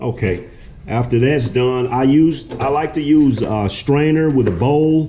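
Ordinary pitch variation marks this man's speech. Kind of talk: tutorial. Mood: relaxed, proud. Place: kitchen. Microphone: camera far.

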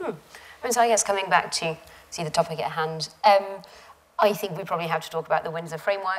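A woman talks at a very fast pace with a fairly low pitch and ordinary pitch variation. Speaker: journalist interviewer. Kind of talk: interview on stage. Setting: lecture theatre with audience. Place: hall. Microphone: lapel.

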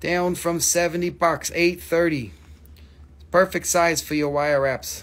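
A man's fairly high, fairly bright voice at a fairly slow pace with fairly even intonation

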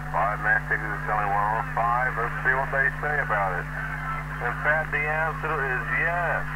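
Loud background noise sits under a voice with an American accent speaking at a fairly slow pace. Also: man. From United States. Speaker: CB radio quiz master. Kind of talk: radio quiz host.

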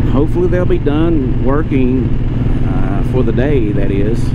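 A man is heard with loud background noise. The sound is dry, with no echo. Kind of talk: casual vlog chat. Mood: relaxed, chatty. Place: motorbike. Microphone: helmet.

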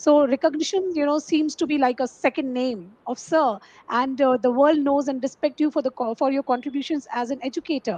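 At a moderate pace, a high-pitched woman speaks with ordinary pitch variation in a dry sound with no echo. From India. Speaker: talk show host. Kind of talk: interview. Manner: formal. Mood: polite, warm. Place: home room. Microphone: headset.

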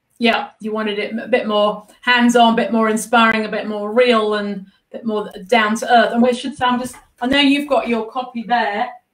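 In a room with audible echo, a woman with a high pitch speaks at a moderate pace in an animated, enthusiastic tone. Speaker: interview show host; interview host. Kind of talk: live interview. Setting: artist's studio, streamed live. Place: home room.

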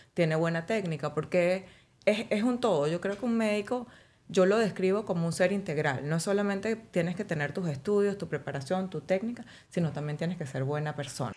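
Here a woman talks at a fairly quick pace. Her pitch variation is ordinary. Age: 40s. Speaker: physician specializing in aesthetic medicine; guest. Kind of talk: casual interview. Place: studio. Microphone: studio mic.

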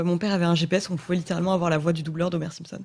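A woman speaks with a fairly low pitch and some vocal fry. The background is quiet. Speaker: interviewer. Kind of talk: casual interview. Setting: studio. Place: studio. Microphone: studio mic.

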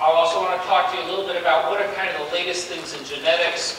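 The recording has audible room echo. Noticeable background noise runs underneath. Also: man. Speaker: lecturer. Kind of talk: lecture. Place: hall.

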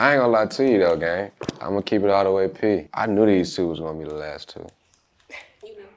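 Using a very deep, low pitch and ordinary pitch variation, a man talks at a fairly quick pace, with long, frequent pauses and big swings in loudness. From Texas. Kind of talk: casual flirty banter. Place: studio.

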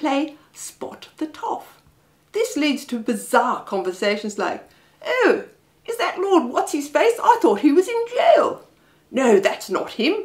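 A woman speaks at a fairly slow pace against a quiet background. Her extremely high pitch moves in very wide swings. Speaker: comic storyteller. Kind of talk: comic reading. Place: home room.

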